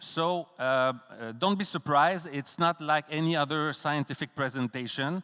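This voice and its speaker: On a very clean recording with a silent background, a man with a Quebec accent and a fairly high pitch speaks at a fairly slow pace in a bright, sharp tone, the sound dry and close with no echo. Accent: Québécois French accent in English. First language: French. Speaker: professor. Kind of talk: conference talk. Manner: halting.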